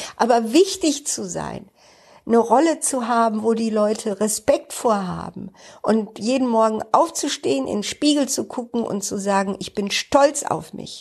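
A woman speaks at a fairly slow pace in an ordinary speaking voice. Her pitch is fairly high and her intonation lively. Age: 60s. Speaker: podcaster and job coach. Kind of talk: personal monologue. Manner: casual, with many fillers.

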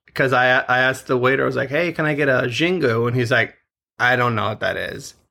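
Bright and sharp in tone, a man's medium-pitched voice moves very fast with fairly even intonation. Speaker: podcast host. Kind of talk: casual chat. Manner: joking, laughs often.

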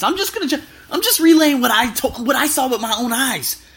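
Over noticeable background noise, a man with an American accent speaks at a fairly quick pace in an animated tone and a raised, projected voice. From US, Las Vegas. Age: 20s. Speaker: travel podcaster. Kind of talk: casual monologue. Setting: hotel room. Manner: loud.

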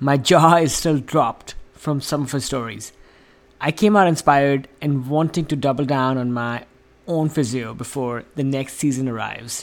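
Fairly high in pitch, a man talks in an unremarkable speaking voice with ordinary pitch variation at a moderate pace. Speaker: podcast host. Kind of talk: scripted intro and outro.

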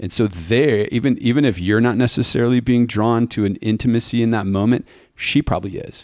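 Speaking at a fairly quick pace, a man uses a plain, everyday voice. His pitch is medium, with ordinary variation. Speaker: podcast co-host. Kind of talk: casual chat. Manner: jokey, chatty.

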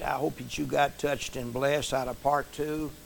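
A man with an American accent and a plain, everyday voice speaks at a moderate pace and a fairly high pitch. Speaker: preacher and podcast host. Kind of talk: sermon intro and closing.

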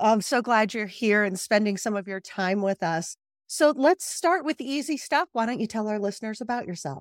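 Speaking at a moderate pace with hardly any pauses, a woman uses a plain, everyday voice, fairly high in pitch with lively intonation, on a very clean, dry, close recording with a silent background and no echo. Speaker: podcast host. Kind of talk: interview.

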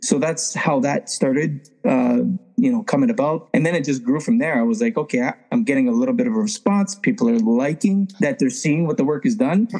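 Amid noticeable background noise, a man talks at a fairly quick pace in a fairly high pitch that swings very widely. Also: very even loudness. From Toronto, Canada. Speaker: tile contractor. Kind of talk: casual chat.

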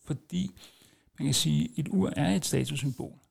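The recording is very clean with a silent background as a man speaks at medium pitch. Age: 40s. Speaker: podcast host. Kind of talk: casual monologue. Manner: hesitant, many filler sounds.

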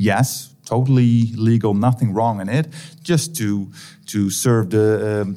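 A Dutch accent with music in the background. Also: man. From Netherlands. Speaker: academic researcher. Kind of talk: interview. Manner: halting.

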